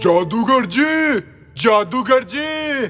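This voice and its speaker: A man shouts in a put-on character voice at an extremely high pitch with lively intonation. Clear music plays in the background. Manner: shouting.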